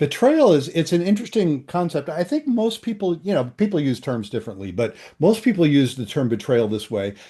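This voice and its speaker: A man speaks in a dark, mellow tone that is somewhat breathy. His pitch swings very widely against a quiet background. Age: 70s. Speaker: psychologist and couples therapist. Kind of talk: interview. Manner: halting, many fillers.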